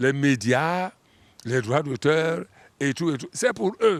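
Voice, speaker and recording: A man's medium-pitched voice is captured on a very clean recording against a silent background. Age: 60s. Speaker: singer. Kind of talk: interview. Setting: studio.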